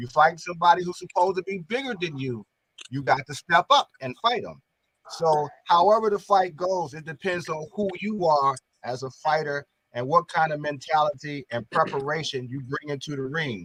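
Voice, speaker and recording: Speaking at a moderate pace in an ordinary speaking voice, a man uses a fairly high pitch with ordinary pitch variation and big swings in loudness, in a dry, close sound with no echo. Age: 60s. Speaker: boxing commentator. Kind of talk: panel discussion.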